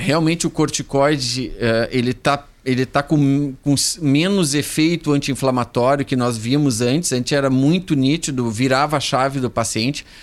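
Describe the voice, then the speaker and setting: This man has a plain, everyday voice, fairly high in pitch with ordinary pitch variation. He talks at a fairly slow pace on a very clean recording with a silent background. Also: very even loudness. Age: 50s. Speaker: medical doctor. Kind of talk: radio health interview.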